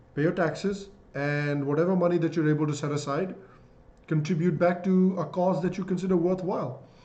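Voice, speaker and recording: A man with a Bihari accent talks at a fairly quick pace, his intonation fairly even. His tone is dark and mellow, and audible room echo surrounds it. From India, Bihar. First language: Magadhi. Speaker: YouTube commentator. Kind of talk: live-stream Q&A. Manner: casual, hesitant fillers.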